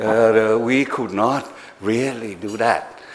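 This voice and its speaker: Mid-range male speech set over clearly audible background noise. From Thailand. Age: 60s. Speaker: government policy advisor. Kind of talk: after-dinner talk. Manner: halting.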